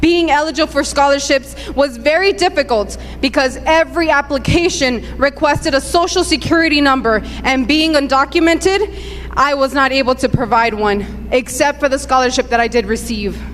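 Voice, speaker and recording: Over noticeable background noise, a woman with a high pitch speaks at a moderate pace with hardly any pauses, very even loudness and ordinary pitch variation. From Southern California (Southgate, Paramount), born in Mexico. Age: 30s. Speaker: immigrant activist. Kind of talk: testimony.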